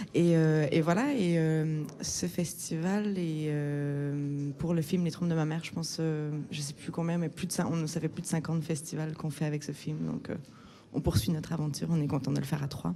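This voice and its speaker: A woman's very deep, low, dark, mellow voice at a moderate pace, with fairly even intonation. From Quebec. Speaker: film director. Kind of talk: interview. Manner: hesitant, many fillers.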